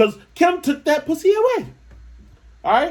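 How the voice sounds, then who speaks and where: The man's speech comes at a fairly quick pace. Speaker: podcast host. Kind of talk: casual monologue. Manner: fast.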